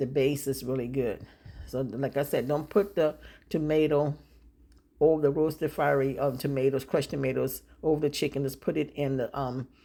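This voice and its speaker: A very deep, low female voice with a dark, mellow tone and fairly even intonation, on a very clean recording with a silent background. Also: moderate pace. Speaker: home cooking video creator. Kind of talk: cooking tutorial with voiceover. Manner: casual, repetitive.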